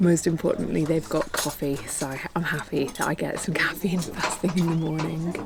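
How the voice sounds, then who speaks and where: Someone with a British accent talks at a fairly quick pace amid noticeable background noise. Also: woman. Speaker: travel vlogger. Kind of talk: travel vlog narration.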